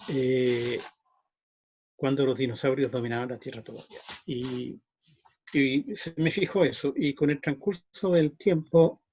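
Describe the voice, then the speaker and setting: A man with a Chilean accent speaks at a fairly high pitch in a somewhat breathy voice, with ordinary pitch variation and big swings in loudness. His pace is fairly slow, broken by long, frequent pauses. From Chile, Santiago. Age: 60s. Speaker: magician. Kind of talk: interview. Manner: halting.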